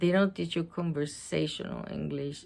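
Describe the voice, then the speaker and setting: Using a fairly low pitch, a woman with a Puerto Rican accent speaks at a very slow pace. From Puerto Rico. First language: Spanish. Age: 50s. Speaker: storytime book reader. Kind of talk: casual personal talk to camera. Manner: emotional, animated.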